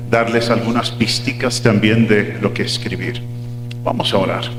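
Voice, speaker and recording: A man speaks at a medium pitch amid noticeable background noise. Room echo is audible. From Uruguay (Montevideo), son of American missionaries. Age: 60s. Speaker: pastor. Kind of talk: sermon.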